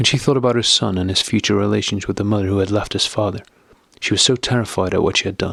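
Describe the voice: What is heard here is plain reading aloud.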